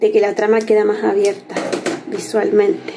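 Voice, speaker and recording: Over light background noise, a woman speaks at a fairly high pitch. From Chile. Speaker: crafts instructor. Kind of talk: tutorial. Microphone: phone near.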